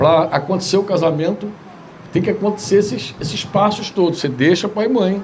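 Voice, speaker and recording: A man speaks at a moderate pace with a high pitch and ordinary pitch variation. The room echoes audibly, and background noise is noticeable. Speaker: pastor. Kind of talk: sermon. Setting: church retreat gathering.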